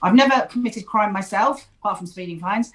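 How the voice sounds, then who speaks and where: A woman's fairly high voice with an English accent and ordinary pitch variation. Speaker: ADHD therapist and author. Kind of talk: interview. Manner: talkative.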